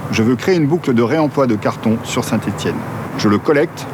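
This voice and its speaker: There is noticeable background noise behind this man. He talks at a fairly quick pace with ordinary pitch variation. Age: 50s. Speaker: business founder. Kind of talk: scripted narration. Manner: formal.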